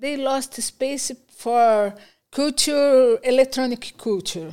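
A woman with a Portuguese accent speaks in a high pitch. Her pace is very slow. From Brazil, São Paulo. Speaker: visual artist and teacher. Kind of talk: interview. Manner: halting.

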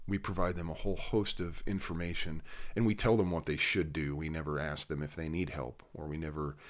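The speaker has an American accent and a voice with vocal fry. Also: man. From Connecticut, New England. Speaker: podcast host, first responder. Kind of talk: casual monologue. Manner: conversational with many fillers.

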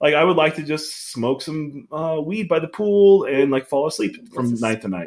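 Here a man with an unremarkable speaking voice, fairly high in pitch, talks at a moderate pace with ordinary pitch variation and hardly any pauses. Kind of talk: casual banter.

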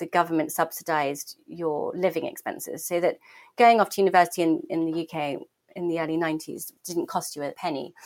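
At a fairly quick pace, a woman speaks in a fairly low pitch with ordinary pitch variation, in a very clean recording with a silent background. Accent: British. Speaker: journalist and broadcaster. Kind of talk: interview conversation.

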